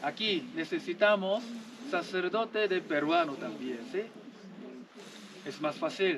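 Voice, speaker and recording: Speaking at a very slow pace with long, frequent pauses, a man with a high voice and a Korean accent uses lively intonation against noticeable background noise. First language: Korean (speaking Spanish). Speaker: missionary priest. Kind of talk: homily to rural congregation. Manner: simple, repetitive broken Spanish.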